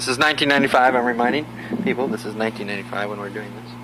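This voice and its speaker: Noticeable background noise runs behind a man speaking very fast with an American accent. His pitch is medium and his intonation fairly even. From Southern California. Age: 30s. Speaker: family historian. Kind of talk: casual chat.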